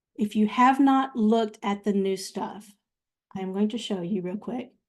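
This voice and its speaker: The woman's voice is fairly high and somewhat breathy. She keeps a moderate pace and fairly even intonation. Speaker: software trainer. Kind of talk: live online class.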